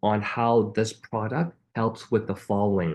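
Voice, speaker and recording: Enthusiastic in tone, a man speaks at a moderate pace in a medium pitch. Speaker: network marketing trainer. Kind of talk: training webinar. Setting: online group call.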